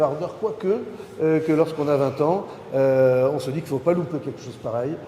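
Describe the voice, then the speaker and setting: A man speaks at a fairly high pitch with fairly even intonation, with noticeable background noise and audible room echo. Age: 60s. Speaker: maritime entrepreneur. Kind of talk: conference talk. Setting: university lecture hall with audience. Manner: hesitant, many fillers.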